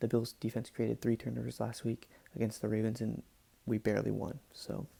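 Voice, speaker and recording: A man is whispering at a fairly quick pace. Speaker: sports podcaster. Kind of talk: casual talk to camera. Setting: home recording, poor mic. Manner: whispered.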